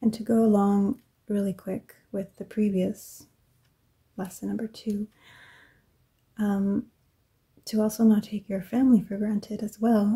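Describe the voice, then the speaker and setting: The soft-spoken voice moves at a fairly slow pace, broken by long, frequent pauses. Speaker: ASMR creator. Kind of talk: ASMR soft-spoken journaling talk.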